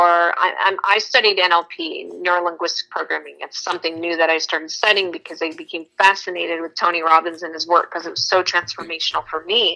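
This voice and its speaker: A woman talking at a fairly quick pace with hardly any pauses, her loudness swinging widely. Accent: American. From Texas. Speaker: educator and speaker, trafficking survivor advocate. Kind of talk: podcast interview.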